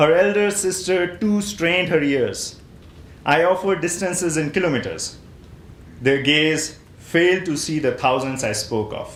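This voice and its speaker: With an Indian accent, a man speaks at a high pitch and a moderate pace. His ordinary pitch variation carries audible room echo. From northern India, Himachal Pradesh. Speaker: poet. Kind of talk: poetry reading.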